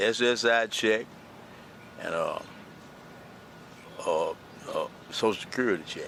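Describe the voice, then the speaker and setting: A man with a Southern US accent at a moderate pace, with long, frequent pauses and noticeable background noise. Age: 70s. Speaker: unhoused interviewee. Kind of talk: interview.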